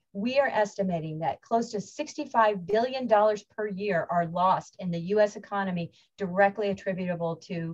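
A woman speaks with ordinary pitch variation and a somewhat breathy quality. The background is quiet. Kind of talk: lecture. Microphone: webcam.

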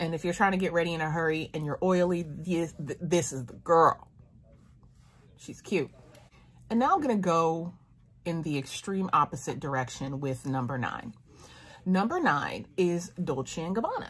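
Somewhat breathy speech at a moderate pace carries ordinary pitch variation and long, frequent pauses. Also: woman, fairly low pitch for a woman. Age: 30s. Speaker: beauty YouTuber. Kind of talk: product review monologue. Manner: animated. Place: home room. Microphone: phone near.

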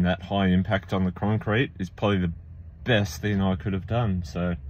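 A man speaks with a normal speaking voice, fairly low in pitch and fairly even in intonation. His pace is moderate, and the sound is dry with no echo. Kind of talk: casual vlog chat. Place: car. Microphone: phone near.

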